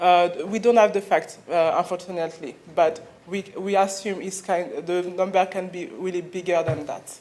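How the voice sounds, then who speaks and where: In a French accent, a woman talks at a moderate pace and medium pitch, her intonation fairly even while her loudness swings widely. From Mali, raised in France. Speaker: clinic founder, FGM campaigner. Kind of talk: conference talk. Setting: conference stage with audience. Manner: hesitant, many fillers.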